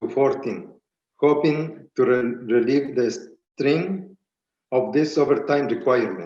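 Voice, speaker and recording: There is audible room echo as a man speaks at a fairly slow pace, his fairly high pitch showing ordinary variation. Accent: Spanish. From Spanish-speaking country, immigrant. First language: Spanish. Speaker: beekeeper and farm business owner. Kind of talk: prepared public testimony. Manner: halting, reading with restarts.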